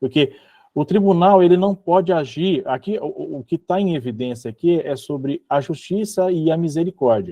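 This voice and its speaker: The speaker has a strong Minas Gerais accent. Pitch variation is ordinary. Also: man, high pitch for a man, moderate pace. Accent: self-described strong Minas Gerais. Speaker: religious study group leader. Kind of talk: online group study session with reading aloud.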